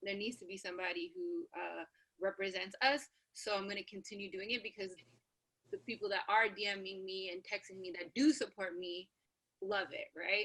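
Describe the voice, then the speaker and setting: The tone is bright and sharp, with ordinary pitch variation and big swings in loudness. The pace is moderate. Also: woman, medium pitch for a woman. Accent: American. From Canada. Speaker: radio personality. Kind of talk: panel discussion. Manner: casual, many fillers.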